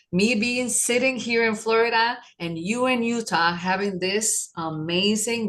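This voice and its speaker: An ordinary speaking voice from a woman, ordinary pitch variation at a fairly slow pace. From New York City, Puerto Rican parents. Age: 50s. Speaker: holistic wellness practitioner. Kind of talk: podcast interview.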